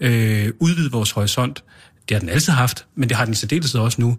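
A man with a somewhat breathy, medium-pitched voice speaks at a moderate pace with ordinary pitch variation on a very clean recording with a silent background. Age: 30s. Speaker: mayor and conservative politician. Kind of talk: casual chat. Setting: studio.

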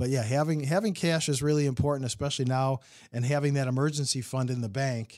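A man with a Midwestern American accent talks at a very fast pace. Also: medium pitch for a man, ordinary pitch variation, very clean recording, silent background. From Illinois, US. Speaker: financial advisor. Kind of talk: casual chat.

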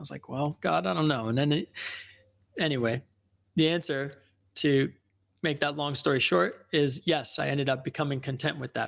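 Vocal fry runs through the speech, broken up by long, frequent pauses. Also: man, fairly high pitch for a man, ordinary pitch variation, moderate pace, quiet background. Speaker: life coach. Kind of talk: casual monologue. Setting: live session with listeners. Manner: conversational, with frequent fillers.

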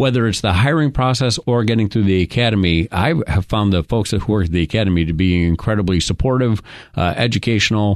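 Over a quiet background, a man talks very fast with hardly any pauses and very even loudness. His intonation is lively and his pitch fairly low. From New York. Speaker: radio show host. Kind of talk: radio interview. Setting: radio studio.

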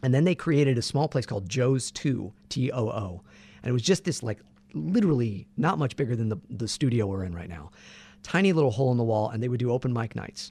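A man with an American accent talks at a very fast pace with lively intonation. His somewhat breathy voice has a medium pitch and a dark, mellow tone. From Santa Barbara, California. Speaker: voice actor. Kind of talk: casual interview chat.

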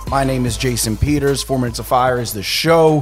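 With an American accent, a man in a normal speaking voice talks at a moderate pace and a medium pitch. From Philadelphia. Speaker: podcast host and interviewer. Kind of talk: casual interview.

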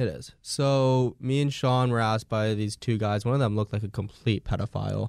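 In an unremarkable speaking voice, a man of medium pitch talks with fairly even intonation and hardly any pauses. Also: fairly quick pace, dry, close sound with no echo. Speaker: co-host. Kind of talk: casual chat. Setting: studio.

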